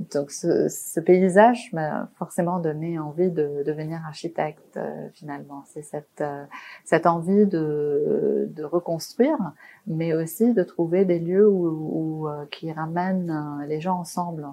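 A woman at a very slow pace, her loudness swinging widely. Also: fairly low pitch for a woman, fairly even intonation. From Lebanon, Beirut. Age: 40s. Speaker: architect. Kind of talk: interview. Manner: halting.

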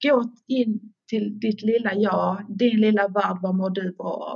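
A woman's somewhat breathy voice at a medium pitch, with fairly even intonation and a very slow pace. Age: 50s. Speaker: stress coach and personal trainer. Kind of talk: podcast interview. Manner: hesitant, filler words.

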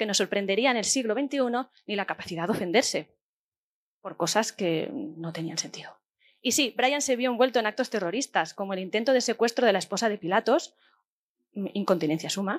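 A woman with a fairly high voice talks at a fairly quick clip. The recording is very clean and dry, close-miked with no echo over a silent background. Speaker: podcast host. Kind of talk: live podcast recording; scripted narration. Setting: stage with audience.

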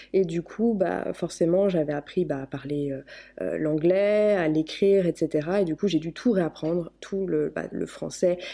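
A woman speaks at a fairly slow pace with a fairly low pitch. Her tone is dark and mellow. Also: ordinary pitch variation. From France, partly raised in the US. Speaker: YouTuber. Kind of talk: interview. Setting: Skype call.

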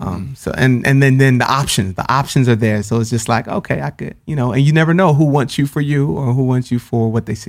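With a normal speaking voice, a man talks at a fairly quick pace and medium pitch, with hardly any pauses and ordinary pitch variation. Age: 30s. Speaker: spoken word poet and author. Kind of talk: casual chat.

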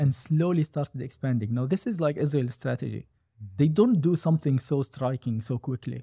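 A man talks at a fairly quick pace, his pitch fairly high and its variation ordinary. The tone is dark and mellow, somewhat breathy, with a dry, close sound and no echo. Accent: Arabic. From Gaza, Palestine. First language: Arabic. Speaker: software developer. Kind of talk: interview. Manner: hesitant, many fillers.

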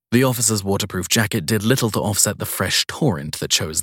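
Lively intonation throughout some plain reading aloud.

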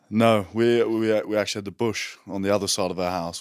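On a very clean recording with a silent background, a man with an Australian accent speaks at a fairly quick pace, his fairly low pitch carrying fairly even intonation. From Western Australia, rural coastal town. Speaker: rugby player. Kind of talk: casual chat.

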